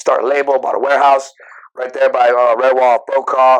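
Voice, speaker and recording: A man at a moderate pace, his pitch fairly high. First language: Spanish. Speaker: rapper and singer. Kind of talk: casual chat. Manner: casual, halting with fillers.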